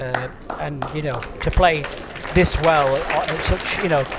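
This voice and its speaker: At a fairly slow pace, a man with a northern English accent talks at a fairly high pitch amid crowd noise in the background and audible room echo. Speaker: bowls commentator. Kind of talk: live commentary. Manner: casual, conversational.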